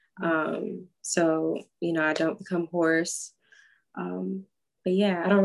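A woman with an American accent, fairly low in pitch and fairly slow in pace. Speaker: pop funk singer-songwriter. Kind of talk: casual interview chat. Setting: video call.

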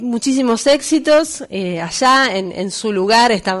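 A woman at a fairly slow pace with lively intonation. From Buenos Aires suburbs (conurbano), Argentina. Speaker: radio host. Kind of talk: casual chat. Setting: studio.

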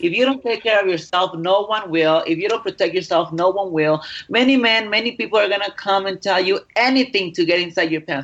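Talking at a fairly quick pace, a woman with a Mexican accent keeps a medium pitch and ordinary pitch variation. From Mexico. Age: 20s. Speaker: adult film performer. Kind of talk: interview.

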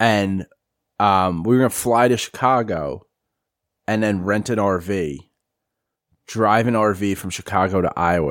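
A man speaks at a moderate pace with an American accent and ordinary pitch variation, his pitch fairly low. An ordinary speaking voice, on a very clean recording with a silent background. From New York. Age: 30s. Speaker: sports podcast host. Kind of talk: casual chat.

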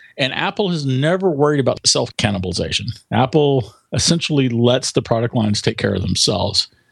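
With an unremarkable speaking voice, a man talks at a fairly quick pace and a medium pitch, his intonation lively and hardly any pauses between words. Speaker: tech writer. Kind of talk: casual interview chat.

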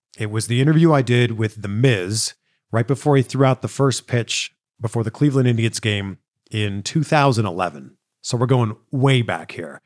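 A man's plain, everyday voice at medium pitch, with lively intonation, on a very clean, dry, close recording with a silent background and no echo. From Canada, Greater Toronto Area. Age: 40s. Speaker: podcast host and interviewer. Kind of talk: casual solo Q&A chat.

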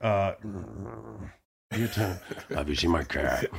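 A man's put-on character voice at a fairly low pitch. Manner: strained, unnatural.

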